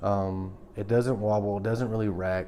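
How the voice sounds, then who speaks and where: A man's fairly low voice, monotone and flat, with audible room echo. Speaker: tool reviewer. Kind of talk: product review video. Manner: hesitant with fillers; fast.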